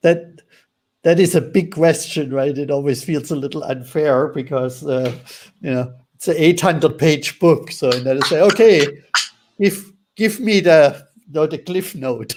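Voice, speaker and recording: With a German accent, a man speaks at a moderate pace in a fairly high pitch with ordinary pitch variation. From Germany. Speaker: author and relationship teacher. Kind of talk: interview.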